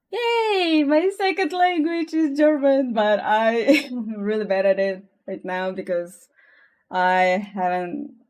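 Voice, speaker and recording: A woman with a Russian accent and very wide pitch swings, at a very slow pace, in a very clean recording with a silent background. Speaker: artist streamer. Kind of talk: casual chat. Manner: halting.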